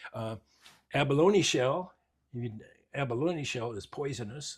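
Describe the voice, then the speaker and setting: A somewhat breathy male voice. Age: 80s+. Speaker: woodcarver. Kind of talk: interview during shop tour. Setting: home workshop. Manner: halting, repetitive.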